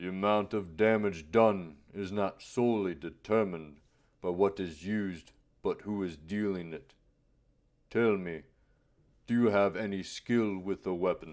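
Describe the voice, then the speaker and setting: A man puts on a growling character voice, fairly low in pitch. He talks at a moderate pace with long, frequent pauses against a quiet background. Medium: read story. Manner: measured, cryptic, formal.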